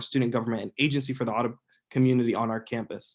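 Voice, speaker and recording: Speaking at a very fast pace, a man keeps a medium pitch and a monotone, flat intonation. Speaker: student senator. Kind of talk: formal speech. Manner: formal.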